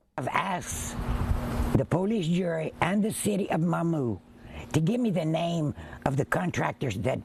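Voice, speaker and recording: A woman's fairly low-pitched voice at a moderate pace, with very wide pitch swings and noticeable background noise. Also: very even loudness. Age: 80s+. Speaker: local resident. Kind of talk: news interview.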